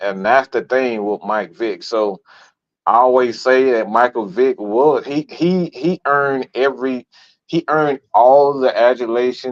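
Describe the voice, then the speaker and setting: In an American accent, the speaker talks at a fairly slow pace with ordinary pitch variation against a quiet background. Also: man, medium pitch for a man. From Atlanta, Georgia (US South). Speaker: sports podcast host. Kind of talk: casual sports talk show. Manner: animated; halting, repeats words.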